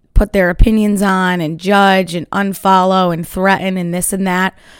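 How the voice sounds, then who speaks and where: The woman has an energetic tone at a medium pitch. She goes at a fairly slow pace. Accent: New York. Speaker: podcast host and small business owner. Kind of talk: casual solo podcast monologue. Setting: home studio, morning.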